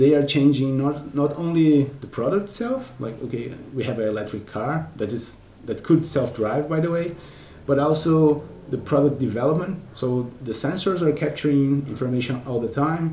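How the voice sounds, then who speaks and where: A man with a Portuguese accent speaks at a fairly high pitch and a moderate pace, with ordinary pitch variation and audible room echo. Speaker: technical solutions consultant. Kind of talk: conference talk. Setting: virtual conference presentation. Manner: hesitant, frequent repetitions.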